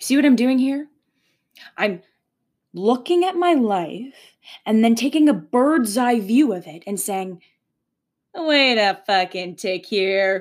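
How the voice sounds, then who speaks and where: A woman talks at a very slow pace with long, frequent pauses, her fairly high pitch moving in very wide swings. The recording is very clean, with a silent background. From Canada, Leamington, Ontario. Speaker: spiritual podcast host, psychic intuitive. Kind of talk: solo spiritual monologue. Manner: animated.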